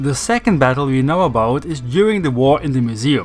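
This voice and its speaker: Lively intonation marks a man speaking at a moderate pace with music in the background. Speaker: lore video narrator. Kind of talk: casual lore narration.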